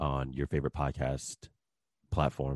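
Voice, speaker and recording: A man's very deep, low voice with vocal fry and an American accent. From New Jersey. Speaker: podcaster and strength coach. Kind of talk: casual interview chat.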